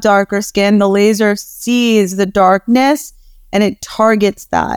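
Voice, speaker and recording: The recording is dry and close, with no echo. A woman speaks in a normal speaking voice at a fairly high pitch with ordinary pitch variation. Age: 30s. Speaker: dermatologist. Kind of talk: casual interview.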